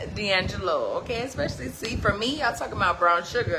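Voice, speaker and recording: Noticeable background noise and audible room echo around a female speaker. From New Jersey. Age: 40s. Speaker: livestreamer giving life advice. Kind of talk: livestream motivational talk. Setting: live stream on social media. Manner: animated.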